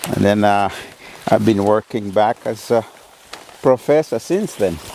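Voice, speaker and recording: A man with a Kenyan accent, ordinary pitch variation, a dry, close sound with no echo, and noticeable background noise. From Kenya, Maragoli, Vihiga. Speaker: university professor. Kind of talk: interview answer. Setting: outdoors.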